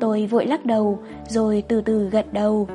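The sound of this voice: This is an unforced reading voice. It is used throughout the clip.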